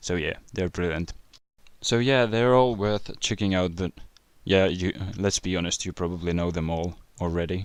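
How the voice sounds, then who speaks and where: A man with a non-native accent talks at a very deep, low pitch with ordinary pitch variation. He pauses long and often against a quiet background. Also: moderate pace. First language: not English. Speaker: YouTuber answering viewer questions. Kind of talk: casual Q&A video.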